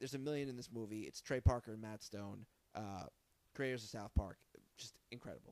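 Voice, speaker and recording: With a normal speaking voice, a man talks at a medium pitch using fairly even intonation. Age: 30s. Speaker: podcast host. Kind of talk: casual chat. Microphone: new proper microphones.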